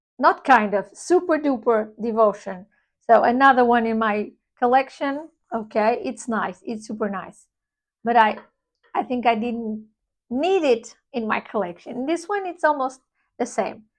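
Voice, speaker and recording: A woman speaks with a high pitch and lively intonation at a fairly slow pace. The background is quiet. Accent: non-native. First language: not English. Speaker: perfume reviewer. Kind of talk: product review. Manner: casual, halting with self-corrections.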